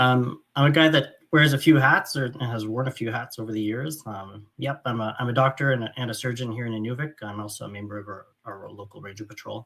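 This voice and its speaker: With a Franco-Ontarian accent, the speaker goes at a fairly quick pace with hardly any pauses, big swings in loudness and ordinary pitch variation. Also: man, medium pitch for a man. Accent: Franco-Ontarian Canadian English. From northern Ontario, francophone small town. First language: French. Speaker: doctor and surgeon. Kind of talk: keynote lecture. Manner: halting, many fillers.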